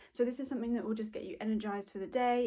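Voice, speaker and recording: A woman's voice sounds upbeat yet carries a dark, mellow tone. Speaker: fitness instructor. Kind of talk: casual talk to camera. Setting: earbud mic with poor connection.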